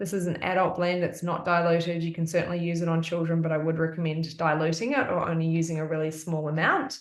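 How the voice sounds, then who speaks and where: A woman with an Australian accent talks at a very fast pace with hardly any pauses. Her fairly low voice has fairly even intonation, and audible room echo surrounds it. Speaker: essential oils wellness presenter. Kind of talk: live-streamed presentation. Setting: live stream at home, evening.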